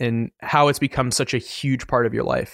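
On a very clean recording with a silent background and a dry, close sound with no echo, a man with an ordinary speaking voice talks at medium pitch and a moderate pace with ordinary pitch variation. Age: 20s. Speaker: podcast host and running editor. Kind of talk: casual interview conversation.

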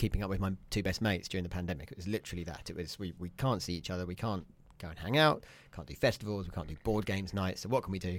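Very deep and low, a man's voice with a British accent races at a very fast pace with big swings in loudness in a very clean recording with a silent background. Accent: British English, casual. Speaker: podcast guest. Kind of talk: radio interview.

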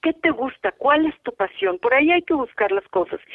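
A woman with a Mexico City accent, very wide pitch swings and a moderate pace. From Mexico, Mexico City. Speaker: photographer and visual artist. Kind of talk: interview conversation.

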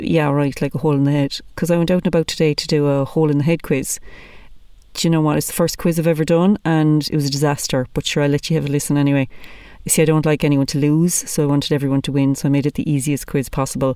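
A woman with an Irish accent talks at a very fast pace in a very deep, low voice with a dark, mellow tone. Her intonation is fairly even and her loudness very even. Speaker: podcast host, comedian. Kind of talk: casual chat.

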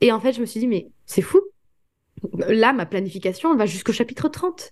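This woman has a dark, mellow tone. Her pitch is fairly high. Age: 20s. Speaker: author and student. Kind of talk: interview. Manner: hesitant fillers.

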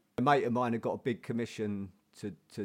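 Recorded very cleanly against a silent background, a man speaks in a South London accent with fairly even intonation. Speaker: painter and printmaker. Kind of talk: casual interview. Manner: halting, many repetitions.

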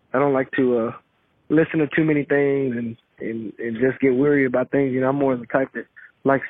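A man with a Texan accent talks fairly quickly at a medium pitch in a monotone, flat intonation. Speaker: interviewee recounting a ghost experience. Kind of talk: testimony. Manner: halting.

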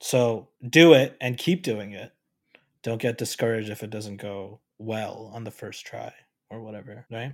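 An ordinary speaking voice at a fairly slow pace, with ordinary pitch variation and big swings in loudness. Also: man, medium pitch for a man. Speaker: podcaster friend. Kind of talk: casual chat. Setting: remote recording.

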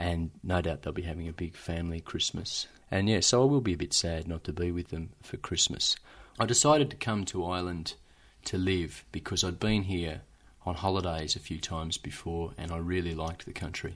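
Over a quiet background, a man with an Australian accent speaks at a fairly quick pace in a very deep, low pitch with ordinary pitch variation. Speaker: lawyer. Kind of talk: documentary interview.

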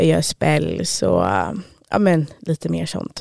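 A woman at a fairly slow pace, the sound dry and close with no echo. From Stockholm, Sweden. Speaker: self-employed witch and medium. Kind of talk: interview.

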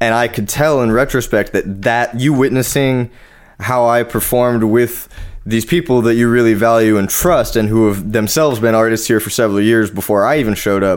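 In a Californian accent, a man talks at a fairly quick pace. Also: medium pitch for a man, fairly even intonation. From Orange County, California. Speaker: metal artist and podcast co-host. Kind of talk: casual chat.

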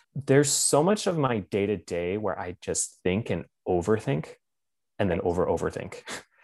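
An ordinary speaking voice from a man with an American accent, medium pitch, lively intonation and a moderate pace over a quiet background. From Pennsylvania, Lancaster County. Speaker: political organizer. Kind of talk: casual interview chat.

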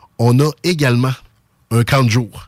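A medium-pitched man with a Quebec City accent speaks at a fairly slow pace with fairly even intonation. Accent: Sainte-Foy Quebec French. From Quebec, Sainte-Foy (Quebec City). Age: 40s. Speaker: youth sports club director. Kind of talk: radio interview.

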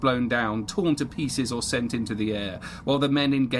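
The voice heard here is a natural reading one.

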